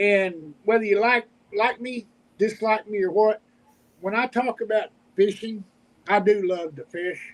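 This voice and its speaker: With an Oklahoma accent, a man speaks at a high pitch and fairly slow pace, keeping his intonation fairly even. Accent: Oklahoma Southern US. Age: 50s. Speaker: homesteader and YouTuber. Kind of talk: casual chat. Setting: livestream video call. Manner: halting.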